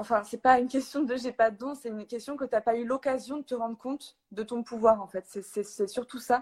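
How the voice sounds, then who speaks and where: Big swings in loudness, hardly any pauses, and fairly even intonation. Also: woman, high pitch for a woman, moderate pace, dry, close sound with no echo. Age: 20s. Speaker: energy healer. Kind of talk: casual chat. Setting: Instagram live video call.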